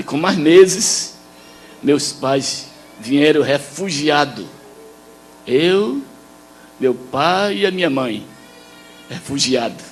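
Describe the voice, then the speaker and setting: Music plays behind a man who speaks very slowly in a fairly high pitch, with lively intonation and long, frequent pauses. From Israel, raised in southern Brazil. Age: 90s. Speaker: missionary and hymn composer. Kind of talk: testimony.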